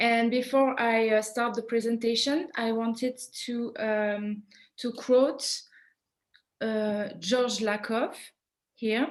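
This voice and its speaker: In a French accent, a woman talks at a very slow pace and a fairly high pitch, her intonation fairly even and her pauses long and frequent. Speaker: PhD student and French teacher presenting research. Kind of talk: conference presentation. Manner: halting, with many fillers.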